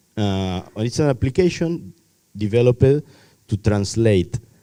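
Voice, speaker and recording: With a non-native accent, a man speaks at a fairly low pitch in a dark, mellow tone with lively intonation. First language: not English. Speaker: technology workshop presenter. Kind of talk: lecture. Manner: halting.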